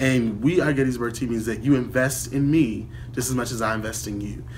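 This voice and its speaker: A man's medium-pitched voice with an American accent and vocal fry, at a moderate pace with fairly even intonation, in audible room echo. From Baltimore, Maryland. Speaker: college student. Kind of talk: testimony.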